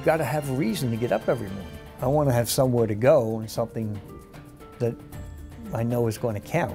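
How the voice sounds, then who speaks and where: A man talks at a very fast pace with long, frequent pauses and big swings in loudness while faint music plays in the background. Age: 70s. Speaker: lawyer and police officer. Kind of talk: interview answer. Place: office. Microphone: lapel.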